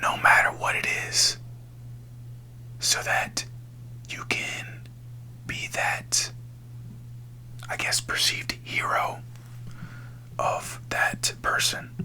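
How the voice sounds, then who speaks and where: A man whispers very slowly, with long, frequent pauses, as noticeable background noise continues. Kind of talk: ASMR whispered spiritual talk. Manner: whispered, soft, slow.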